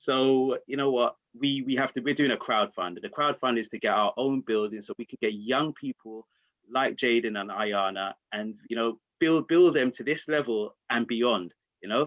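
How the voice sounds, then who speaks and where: A man talks in a medium pitch that rises and falls in an ordinary way. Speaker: volunteer community organiser. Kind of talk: video call panel discussion. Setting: video call. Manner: fast.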